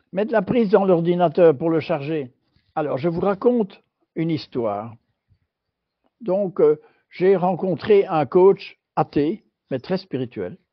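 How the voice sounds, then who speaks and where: At a very slow pace, a man with a high pitch talks with lively intonation and long, frequent pauses. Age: 80s+. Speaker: former European Union official. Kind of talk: interview.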